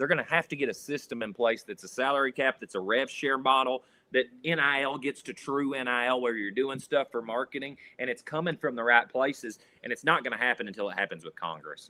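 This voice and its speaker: With a strong Kentucky accent, a man speaks at a fairly quick pace, medium pitch and ordinary pitch variation. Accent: strong rural Kentucky. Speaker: sports reporter and panelist. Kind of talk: sports talk roundtable. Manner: animated, repeats words.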